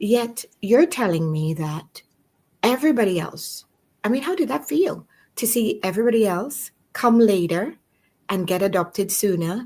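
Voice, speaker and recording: A somewhat breathy woman's voice, fairly high-pitched with very wide pitch swings and a dark, mellow tone, at a moderate pace on a very clean recording with a silent background. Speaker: podcast host. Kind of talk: interview conversation.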